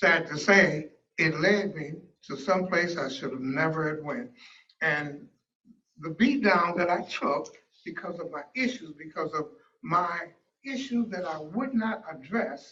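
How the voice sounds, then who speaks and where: With a high pitch and lively intonation, this man talks at a fairly slow pace. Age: 70s. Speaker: motivational speaker and pastor. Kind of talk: motivational talk.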